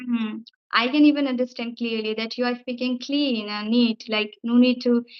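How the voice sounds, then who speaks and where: In an Indian accent, a woman speaks at a moderate pace with a high pitch and monotone, flat intonation. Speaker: English teacher and YouTuber. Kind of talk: casual chat. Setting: video call.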